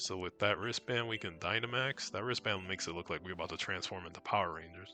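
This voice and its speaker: Music in the background under a man's very deep, low voice, very fast pace and ordinary pitch variation. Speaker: video game streamer. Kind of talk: casual gameplay commentary. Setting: live stream. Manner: casual.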